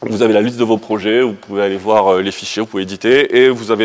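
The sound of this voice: A man's fairly low voice at a fast pace, with fairly even intonation.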